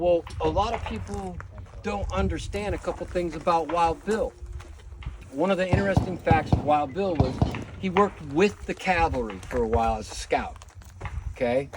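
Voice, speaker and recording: Over noticeable background noise and audible room echo, a man speaks with long, frequent pauses. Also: moderate pace. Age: 50s. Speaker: firearms instructor. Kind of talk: class lecture with demonstration. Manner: casual, filler-heavy.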